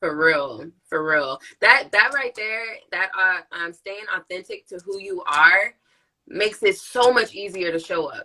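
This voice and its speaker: A woman's bright, sharp, animated voice at a fairly slow pace, with lively intonation and big swings in loudness. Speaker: nurse practitioner and live-stream host. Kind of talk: casual chat.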